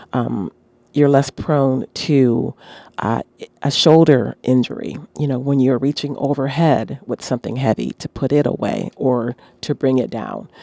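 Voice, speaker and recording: Dry and close with no echo, the voice has a dark, mellow tone, fairly even intonation and a fairly slow pace. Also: woman, very deep, low pitch for a woman. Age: 60s. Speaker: fitness podcaster. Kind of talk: casual monologue. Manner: halting, many fillers.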